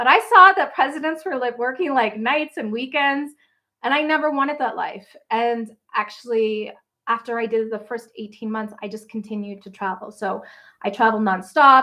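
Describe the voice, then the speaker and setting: A woman's high, bright, sharp voice in a Canadian Maritime accent with lively intonation, big swings in loudness and a moderate pace. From Nova Scotia, Canada. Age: 40s. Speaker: travel blogger. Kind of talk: livestream Q&A. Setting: livestream. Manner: casual, chatty.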